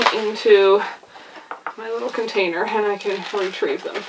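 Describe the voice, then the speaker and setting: Noticeable background noise sits behind a woman speaking at a medium pitch. She takes a fairly slow pace. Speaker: homesteading video creator. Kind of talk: tutorial. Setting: indoors at home. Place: home room. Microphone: camera far.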